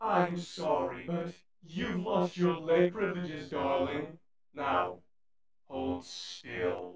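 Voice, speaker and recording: A raspy, put-on character voice sits at a low-to-middle pitch. It moves at a very slow pace with very wide pitch swings. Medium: dub. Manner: theatrical, dramatic.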